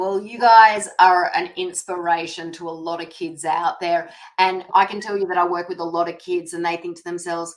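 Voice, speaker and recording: In a non-native accent, a woman with a fairly low pitch speaks at a moderate pace with hardly any pauses, monotone, flat intonation and big swings in loudness. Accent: non-American accent she can't get rid of. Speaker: holistic nutrition practitioner. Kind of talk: podcast interview.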